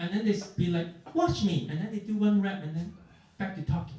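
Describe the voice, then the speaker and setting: A man speaks at a high pitch with an Asian accent. Room echo can be heard. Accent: Asian accent, noticeable. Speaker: stand-up comedian. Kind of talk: stand-up. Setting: basement comedy club with audience.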